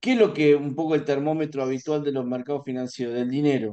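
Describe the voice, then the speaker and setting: In an Argentine accent, the speaker goes at a fairly quick pace with ordinary pitch variation over a quiet background. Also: man. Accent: Rioplatense Argentine Spanish. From Argentina, Buenos Aires. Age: 40s. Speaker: financial market analyst. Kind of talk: interview; interview answer. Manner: hesitant, many fillers. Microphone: video call.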